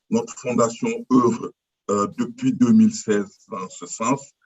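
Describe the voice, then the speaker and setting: At a very slow pace, a man talks in a fairly high pitch with very wide pitch swings. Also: long, frequent pauses, big swings in loudness. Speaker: representative of a cultural foundation. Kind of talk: formal conference statement. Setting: video call. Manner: halting, many fillers.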